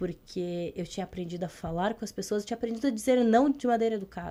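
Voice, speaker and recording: A woman's very fast speech at a medium pitch, with ordinary pitch variation and a dark, mellow tone. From Brazil, interior of Rio Grande do Sul. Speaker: emotional intelligence and leadership trainer. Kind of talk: podcast interview.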